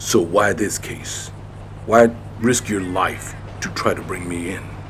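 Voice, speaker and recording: Over clear background noise, a man performs a put-on character voice at a fairly slow pace with big swings in loudness. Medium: machinima. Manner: terse, stern.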